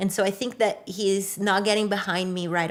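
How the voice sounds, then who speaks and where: A woman speaks in a Brazilian Portuguese accent. Her intonation stays fairly even. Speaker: public defender. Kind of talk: interview.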